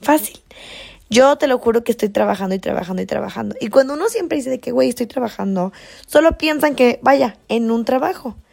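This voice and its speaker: There is music in the background as a woman speaks in an animated tone. Her pitch is fairly high. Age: 20s. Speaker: podcast host. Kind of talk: casual motivational monologue.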